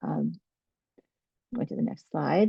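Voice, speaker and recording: An American woman speaks with a dark, mellow tone and vocal fry. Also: dry, close sound with no echo. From New York. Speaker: nurse practitioner and researcher. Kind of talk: webinar presentation.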